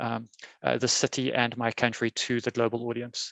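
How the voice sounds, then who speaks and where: A man talks with a South African accent at a medium pitch. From South Africa, Cape Town. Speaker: software testing conference speaker. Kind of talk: conference keynote talk. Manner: many fillers, halting.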